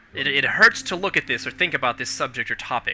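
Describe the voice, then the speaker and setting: A man speaking at a very fast pace, with music in the background. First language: not English. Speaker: podcast host. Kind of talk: casual chat. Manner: halting.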